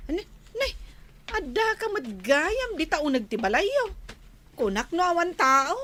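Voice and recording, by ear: Putting on a character voice, a woman speaks at a fairly slow pace at an extremely high pitch, her bright, sharp tone swinging widely in pitch.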